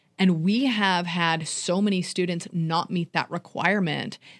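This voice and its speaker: This woman has a normal speaking voice with medium pitch and ordinary pitch variation. She speaks at a fairly slow pace. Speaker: podcast co-host and high school teacher. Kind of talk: casual chat.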